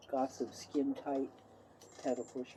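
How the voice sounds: Her voice sits extremely low, with a dark, mellow tone and a slightly husky edge, as the woman speaks at a fairly slow pace.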